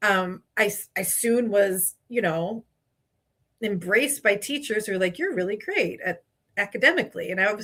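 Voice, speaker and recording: A woman with a bright, sharp tone speaks with ordinary pitch variation. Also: medium pitch for a woman, moderate pace. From Spanish-speaking country, moved to US as child. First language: Spanish. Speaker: HR and legal consultant. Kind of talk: podcast interview.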